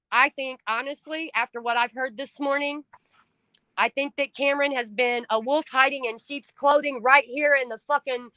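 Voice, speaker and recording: A woman's raised, projected voice, high-pitched with a bright, sharp tone and flat, monotone intonation, dry and close with no echo. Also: moderate pace. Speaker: livestream host, trafficking survivor advocate. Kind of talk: casual chat. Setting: livestream. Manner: loud; emotional, expressive.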